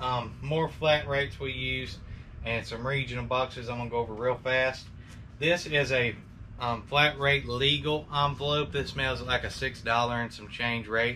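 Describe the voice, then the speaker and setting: With an Alabama accent, the speaker has a bright, sharp tone and fairly even intonation. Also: man, medium pitch for a man. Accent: Southern US (Alabama). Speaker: online reseller. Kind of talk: tutorial. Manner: fast; casual.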